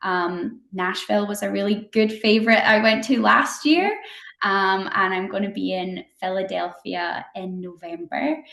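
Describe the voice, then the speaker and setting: A woman with a slight Scottish accent talks at a fairly slow pace, her medium-pitched voice bright and sharp in tone with ordinary pitch variation. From Scotland. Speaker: company representative. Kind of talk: interview.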